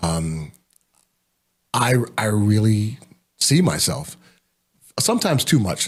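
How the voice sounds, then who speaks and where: A man speaks at a very slow pace with a fairly low pitch, long and frequent pauses, and a somewhat breathy quality. His pitch swings very widely, with an American accent. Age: 60s. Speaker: pastor and leadership coach. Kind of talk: casual interview.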